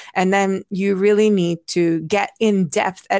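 Fairly slow speech comes from a woman at medium pitch. The sound is dry and close with no echo, on a very clean recording with a silent background. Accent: Hungarian. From Hungary. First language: Hungarian. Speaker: anthropologist and public health professor. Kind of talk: interview conversation.

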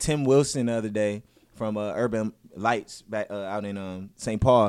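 Recorded very clean over a silent background, an unremarkable speaking voice with an American accent moves at a moderate pace with fairly even intonation. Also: man. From US Midwest, north side of Minneapolis. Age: young. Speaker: tech company CEO and event promoter. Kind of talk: casual interview.

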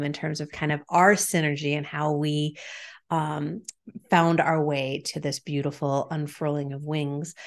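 In an American accent, the speaker goes at a fairly slow pace with flat, monotone intonation against a quiet background. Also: woman. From Chicago / Massachusetts. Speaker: life and business strategist. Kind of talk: online panel conversation.

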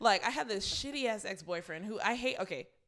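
A woman is speaking. Her pitch swings very widely. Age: 20s. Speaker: podcast co-host. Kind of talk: casual chat.

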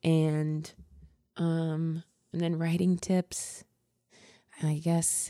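Recorded very cleanly against a silent background, a woman with an American accent speaks at a fairly low pitch in a dark, mellow tone. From Ohio. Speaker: stand-up comedian. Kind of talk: casual interview chat.

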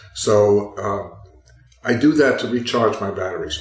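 Music plays in the background as a man speaks with an American accent. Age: 70s. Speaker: author and walker. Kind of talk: casual interview chat.

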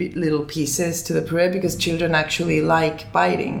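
Vocal fry runs through speech at a moderate pace, with audible room echo around it. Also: woman. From Finland, then Barcelona from age 10. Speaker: food business founder. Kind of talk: interview.

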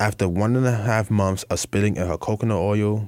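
Fairly low in pitch, a man with an American accent and an unremarkable speaking voice talks at a moderate pace with fairly even intonation in a very clean recording with a silent background. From US Northeast, Bronx, New York. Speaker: student journalist, editor. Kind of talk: casual news discussion.

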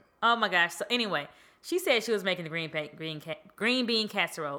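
A woman speaks with lively intonation and an animated tone. Her voice has a bright, sharp tone. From Georgia, US South. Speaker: podcast host. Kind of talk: casual chat.

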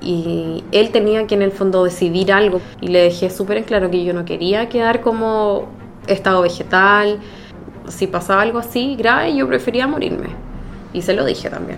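A woman speaks in a Chilean accent against noticeable background noise. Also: medium pitch for a woman, ordinary pitch variation, moderate pace. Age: 30s. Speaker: nurse. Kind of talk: interview testimony. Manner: halting.

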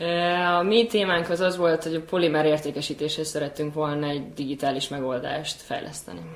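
Noticeable background noise sits behind this woman. She speaks with a very deep, low pitch at a fairly quick pace, with ordinary pitch variation and hardly any pauses. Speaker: graduate program alumna, executive assistant. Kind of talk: casual chat.

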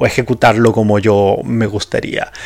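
With noticeable background noise behind him, a man speaks at a fairly slow pace and medium pitch. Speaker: podcast host. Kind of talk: solo casual monologue. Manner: hesitant, many fillers.

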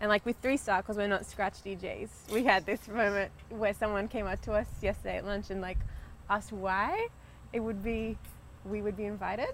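With an Australian accent, a woman speaks at a medium pitch and a moderate pace in a monotone, flat intonation. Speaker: DJ and producer. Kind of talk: casual group chat, podcast.

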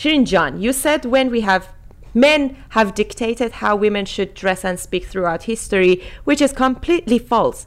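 With a Persian accent, a woman speaks in a high voice that makes very wide pitch swings. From Iran. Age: 30s. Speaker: podcast host. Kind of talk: casual chat.

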